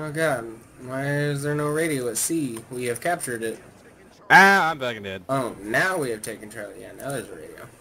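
A man's normal speaking voice in an American accent, medium in pitch with ordinary pitch variation, big swings in loudness and a fairly quick pace. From Oklahoma. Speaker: gamer. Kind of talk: casual chat. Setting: voice chat.

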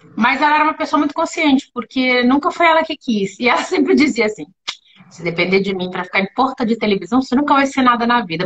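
Against a quiet background, the speech races at a very fast pace with lively intonation. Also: woman. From Brazil, born in São Paulo, long in Rio. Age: 50s. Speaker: actress and voice actress. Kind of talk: casual live-stream interview. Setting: video call. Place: home room. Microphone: video call.

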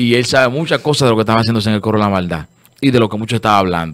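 This man speaks with lively intonation over a quiet background. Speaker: radio show host. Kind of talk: radio talk show commentary. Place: studio. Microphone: studio mic.

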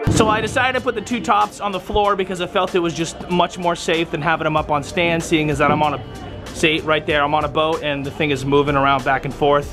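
Over clear background music, a man talks at a very fast pace with hardly any pauses and ordinary pitch variation. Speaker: DJ vlogger. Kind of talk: casual vlog chat. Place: boat. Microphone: phone near.

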